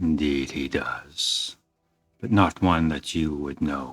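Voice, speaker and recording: With music in the background, a man uses a put-on, gruff character voice, very deep and low, at a fairly slow pace. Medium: actual play.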